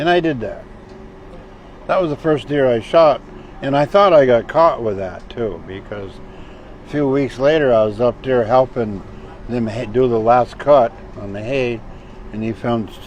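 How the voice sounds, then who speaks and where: The speech moves at a moderate pace with long, frequent pauses and ordinary pitch variation, over noticeable background noise. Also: man, medium pitch for a man. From Vermont. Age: 70s. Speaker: hunter. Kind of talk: casual storytelling interview.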